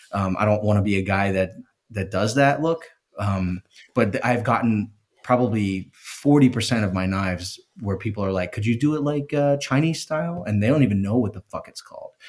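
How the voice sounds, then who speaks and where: A man with an American accent and an unremarkable speaking voice, fairly low in pitch, at a fairly quick pace with lively intonation. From US East Coast, Philadelphia. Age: 30s. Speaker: knife maker. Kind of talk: casual chat.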